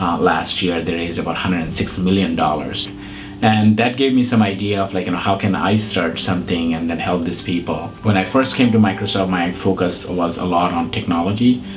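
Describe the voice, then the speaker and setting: Over background music and audible room echo, a man with a very deep, low voice talks at a fairly quick pace with hardly any pauses and ordinary pitch variation. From Bangladesh. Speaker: nonprofit founder and CEO. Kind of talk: interview. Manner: hesitant, many fillers.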